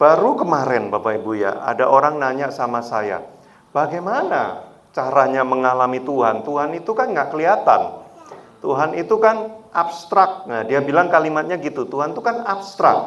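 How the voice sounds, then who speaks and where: Amid audible room echo and noticeable background noise, a man speaks in a fairly high pitch with very wide pitch swings. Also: moderate pace. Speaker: guest preacher. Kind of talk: sermon. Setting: church. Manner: animated.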